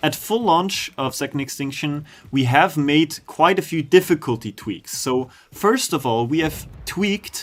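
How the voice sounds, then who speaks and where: This man's voice sits fairly high. He talks at a fairly slow pace. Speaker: game developer streamer. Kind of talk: livestream chat with viewers. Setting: live stream.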